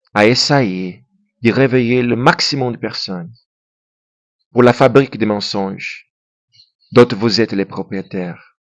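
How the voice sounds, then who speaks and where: Speaking very slowly with long, frequent pauses, a man at medium pitch has a non-native accent and ordinary pitch variation. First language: Portuguese (speaking French). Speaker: YouTuber. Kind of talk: monologue to camera. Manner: halting; impassioned.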